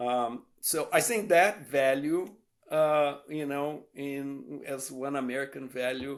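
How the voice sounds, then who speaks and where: Recorded very cleanly against a silent background, a man speaks with a Brazilian Portuguese accent at a fairly high pitch. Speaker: professor. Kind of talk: interview. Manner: hesitant, many fillers.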